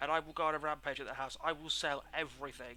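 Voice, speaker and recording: A man with a British accent speaks at a fairly quick pace in a fairly high voice, his tone bright and sharp, on a very clean recording with a silent background. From England. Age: 20s. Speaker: game streamer. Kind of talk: live gameplay commentary. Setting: live stream at home. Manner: casual, chatty.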